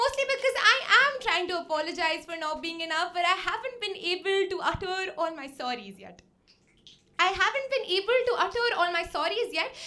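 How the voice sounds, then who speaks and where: With audible room echo, a woman projects a raised voice at an extremely high pitch, swinging very widely in pitch at a moderate pace. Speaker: poet. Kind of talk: spoken word poetry performance. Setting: stage with audience. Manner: loud.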